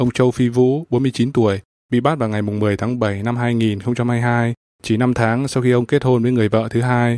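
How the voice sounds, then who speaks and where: In a dry, close recording with no echo, a man speaks fairly slowly at medium pitch, his tone serious, his intonation flat and monotone, and his loudness very even. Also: very clean recording, silent background. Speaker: news radio presenter. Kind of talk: formal news bulletin reading. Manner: formal, steady, even newsreader delivery; serious, measured pace.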